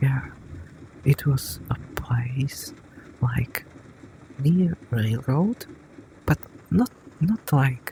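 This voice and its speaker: Softly spoken, the voice moves at a very slow pace, broken by long, frequent pauses. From grew up in a village. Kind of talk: soft-spoken ASMR companion talk. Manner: soft-spoken.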